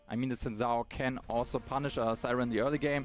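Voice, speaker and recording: With a German accent, a man speaks at a medium pitch and a fairly quick pace. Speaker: esports caster. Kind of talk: live commentary. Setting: livestream. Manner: animated.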